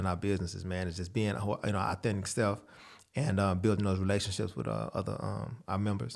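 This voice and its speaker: A man with an American accent talks very fast in a fairly low pitch with vocal fry and fairly even intonation, on a very clean recording with a silent background. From Texas, San Antonio. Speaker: dietitian and gym owner. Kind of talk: interview.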